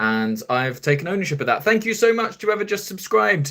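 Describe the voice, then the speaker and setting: A man speaks very fast in a southern English accent. His pitch swings very widely. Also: very clean recording, silent background. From southern England, near Brighton. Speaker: podcast host. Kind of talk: live stream chat. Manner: casual, chatty.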